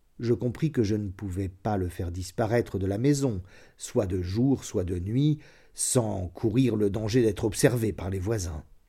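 A man with a fairly low pitch speaks in a solemn, dark, mellow tone that is somewhat breathy, with ordinary pitch variation. The recording is very clean with a silent background. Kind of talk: audiobook reading of a literary short story, first-person confessional narration. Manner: measured, solemn, slow literary delivery with dark, tense gravity.

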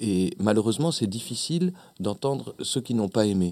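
The pace here is moderate. It is an ordinary speaking voice. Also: man, very clean recording, silent background. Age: 40s. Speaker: actor and clown. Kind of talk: radio interview. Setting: radio studio.

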